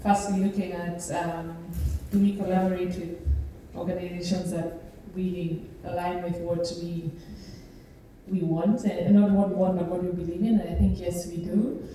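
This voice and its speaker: The speaker moves at a moderate pace, with long, frequent pauses and a monotone, flat intonation. Noticeable background noise and audible room echo are present. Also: woman, fairly low pitch for a woman. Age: young. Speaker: museum co-founder. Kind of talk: panel discussion.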